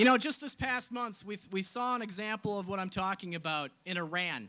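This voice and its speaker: A man with an American accent speaks in a raised, projected voice with a bright, sharp tone. His pitch is high with ordinary variation, and his pace is fairly quick. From Wisconsin, Clark County. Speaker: politician. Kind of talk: political rally speech. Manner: emphatic, rhetorical.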